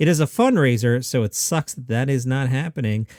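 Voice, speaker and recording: A man with an American accent and ordinary pitch variation, in dry, close sound with no echo, on a very clean recording with a silent background. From Queens, New York. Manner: drops T sounds.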